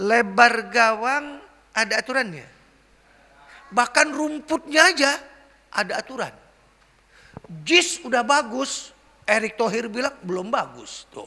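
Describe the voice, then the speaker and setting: With an extremely high pitch and ordinary pitch variation, a man speaks in a raised, projected, animated voice, his loudness swinging widely between long, frequent pauses. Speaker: Islamic preacher. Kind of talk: sermon. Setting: mosque. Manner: animated, rhetorical questions to audience.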